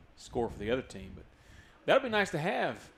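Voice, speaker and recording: A man talks at a fairly quick pace with lively intonation. He speaks with a strong Southern US accent. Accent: strong rural Southern. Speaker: sports commentator. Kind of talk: live commentary. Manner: fast.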